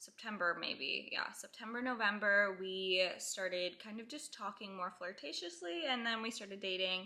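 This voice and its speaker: A woman at a medium pitch has a plain, everyday voice. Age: 20s. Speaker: stay-at-home mom vlogger. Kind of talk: casual Q&A vlog. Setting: at home on couch. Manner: chatty, rambling filler.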